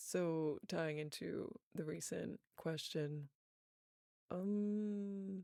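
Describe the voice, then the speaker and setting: In a relaxed tone, a woman with a slight Southern US accent speaks at a fairly low pitch, her dark, mellow voice keeping a fairly even intonation. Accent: slight Southern accent on certain words. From US South. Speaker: voice actor. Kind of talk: casual Q&A chat.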